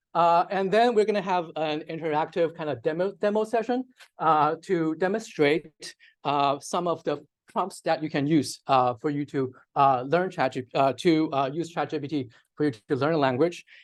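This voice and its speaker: With a Chinese accent, a man talks at a moderate pace and fairly high pitch, showing ordinary pitch variation over a quiet background. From China. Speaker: data scientist, workshop presenter. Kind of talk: lecture. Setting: workshop with live audience. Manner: many fillers (uh, um).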